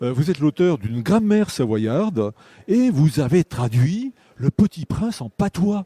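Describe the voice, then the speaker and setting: A man speaks at a fairly slow pace, with a fairly high pitch and a dark, mellow tone. His pitch swings very widely. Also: dry, close sound with no echo. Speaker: radio literary show host. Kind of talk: radio interview questions. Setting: radio studio.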